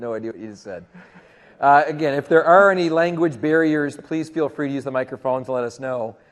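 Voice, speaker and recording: With a Canadian accent and an ordinary speaking voice, a man talks at a fairly quick pace and a fairly high pitch, with ordinary pitch variation and big swings in loudness against a quiet background. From Canada. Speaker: tech conference presenter. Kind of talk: conference presentation. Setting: stage with audience.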